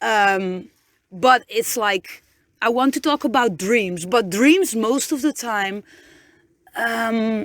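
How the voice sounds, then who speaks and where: A woman with a Dutch accent speaks at a very slow pace in a fairly high voice, her lively intonation broken by long, frequent pauses, all captured with a dry, close sound and no echo. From Netherlands. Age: 30s. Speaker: podcaster. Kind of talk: inspirational pep talk. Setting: inside a van. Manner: halting, many repetitions and fillers.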